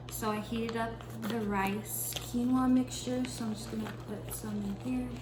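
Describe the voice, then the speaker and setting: A soft-spoken woman talks at a moderate pace, with audible room echo and noticeable background noise. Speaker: vlogger. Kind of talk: casual vlog narration. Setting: home kitchen.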